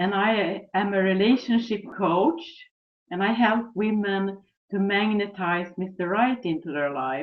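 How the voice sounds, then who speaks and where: A woman speaks at a fairly slow pace. She has a Swedish accent. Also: medium pitch for a woman, ordinary pitch variation. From Sweden. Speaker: relationship coach. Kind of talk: webinar presentation.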